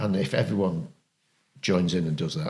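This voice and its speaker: A man speaks with vocal fry. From Yorkshire, Harrogate. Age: 60s. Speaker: rugby league club chairman. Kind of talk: casual podcast chat.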